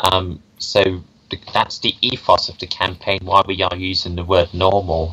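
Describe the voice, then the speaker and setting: The man's pitch is very deep and low, yet his tone is bright and sharp. He speaks at a moderate pace in a flat, monotone way. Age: 20s. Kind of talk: interview answer. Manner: hesitant, many filler words.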